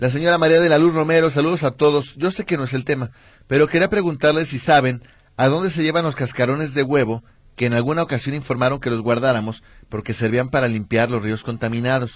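The recording is very clean, its background silent. This man's fairly high pitch varies in an ordinary way as he talks at a very fast pace. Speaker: radio host. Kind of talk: casual chat.

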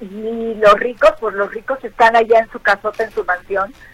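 Through noticeable background noise, a woman with a fairly high pitch speaks at a moderate pace. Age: 60s. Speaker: actress. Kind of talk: interview.

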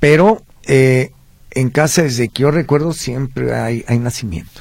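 A somewhat breathy man at a fairly slow pace, with ordinary pitch variation. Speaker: historical researcher. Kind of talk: radio interview.

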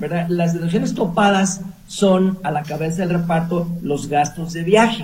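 With audible room echo around him, a man with a high voice speaks at a fairly slow pace and with fairly even intonation. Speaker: accountant. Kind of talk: expert advice on radio.

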